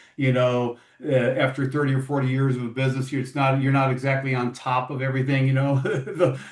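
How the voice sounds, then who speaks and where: Fairly quick, monotone speech from a man at medium pitch, with hardly any pauses and noticeable background noise. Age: 60s. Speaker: podcast host. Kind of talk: interview. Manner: casual, halting with repetitions.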